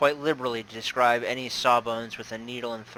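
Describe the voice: The voice gives a plain reading aloud with fairly even intonation.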